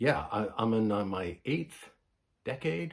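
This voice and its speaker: A somewhat breathy man with a Canadian accent and lively intonation. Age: 70s. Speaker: vinyl record vlogger. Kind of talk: casual vlog.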